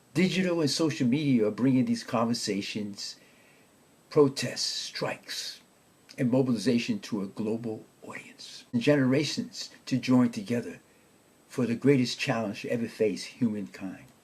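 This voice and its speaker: Medium pitch from a somewhat breathy man, with ordinary pitch variation and a moderate pace. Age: 70s. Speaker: podcast host. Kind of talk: podcast monologue, partly reading prepared text.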